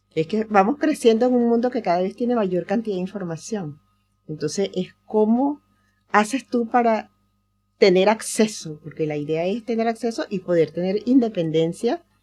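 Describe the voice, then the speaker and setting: A woman at a moderate pace with a fairly high pitch and lively intonation, music in the background. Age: 80s+. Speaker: psychologist and teacher. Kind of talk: casual chat.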